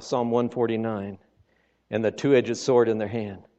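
In an animated tone, a man speaks at a moderate pace with a medium pitch. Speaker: visiting preacher. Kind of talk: sermon. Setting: church with congregation. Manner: animated, exhorting, folksy with humor; fervent, punctuated by Amens and Hallelujahs.

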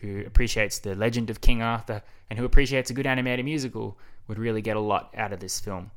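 A man keeps his medium-pitched intonation fairly even on a very clean recording with a silent background. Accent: Australian. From Australia. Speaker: podcast host. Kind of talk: casual monologue.

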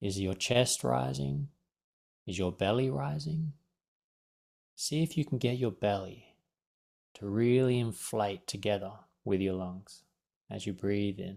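A man's pitch swings very widely between long, frequent pauses on a very clean recording with a silent background. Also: fairly low pitch for a man, fairly slow pace. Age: 40s. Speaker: life coach. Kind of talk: guided meditation; casual chat.

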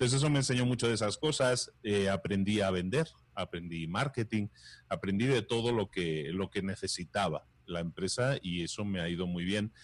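Against a quiet background, a man with a plain, everyday voice speaks at a moderate pace and fairly low pitch with ordinary pitch variation. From Spain. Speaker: entrepreneur and podcaster. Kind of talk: interview.

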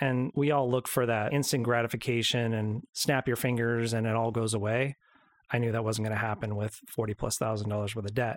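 A man's medium-pitched voice at a fairly quick pace, monotone and flat in intonation, with a dry, close sound and no echo. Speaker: co-host and announcer. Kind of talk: casual chat.

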